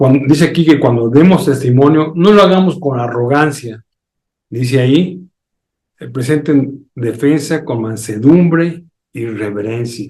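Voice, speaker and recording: A man's fairly high, somewhat breathy voice shows ordinary pitch variation. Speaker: pastor. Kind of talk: sermon.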